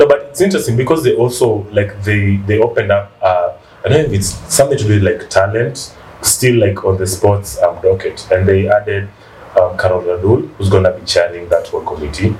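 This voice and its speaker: A man speaks at a fairly quick pace amid noticeable background noise. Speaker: podcast co-host. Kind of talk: casual chat.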